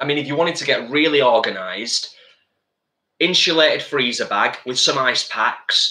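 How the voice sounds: A man's medium-pitched voice, bright and sharp in tone, at a fairly slow pace with lively intonation and audible room echo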